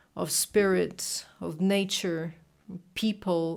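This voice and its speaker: A woman speaks at a medium pitch with a Brazilian Portuguese accent. Her pace is very slow and her intonation fairly even. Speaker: reader and commentator. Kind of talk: casual reflection. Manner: halting.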